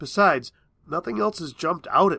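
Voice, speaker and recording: In a raspy, put-on character voice, a man talks at a fairly quick pace, pitched high for a man, with lively intonation. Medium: read story.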